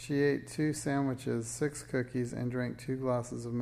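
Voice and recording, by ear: Fairly even intonation throughout a passage read aloud in a natural voice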